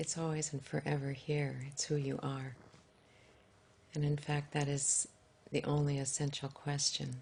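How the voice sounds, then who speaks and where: A soft-spoken woman with a very deep, low pitch talks at a fairly slow pace in a somewhat breathy voice. Her intonation stays monotone and flat, broken by long, frequent pauses. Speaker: author and spiritual teacher. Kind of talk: interview answer.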